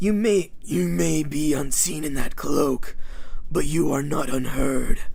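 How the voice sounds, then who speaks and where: This man puts on a character voice, pitched fairly high for a man, and speaks at a fairly slow pace. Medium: read story. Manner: calm, aloof.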